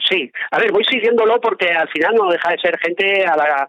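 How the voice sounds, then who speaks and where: A man is speaking. His pace is fairly slow. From Aragón, Spain (Zaragoza). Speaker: mountaineer and photographer. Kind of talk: interview.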